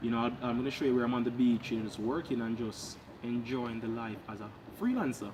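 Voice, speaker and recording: Speaking at a fairly quick pace, a man keeps a medium pitch and a monotone, flat intonation. There is audible room echo and noticeable background noise. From Jamaica. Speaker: freelancer vlogger. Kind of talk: casual vlog talk to camera. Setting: outdoors in back yard.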